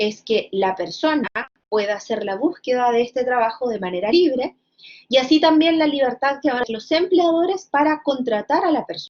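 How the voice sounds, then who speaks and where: A woman's high pitch carries lively intonation as she talks. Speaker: law lecturer. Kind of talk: lecture. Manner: hesitant with fillers.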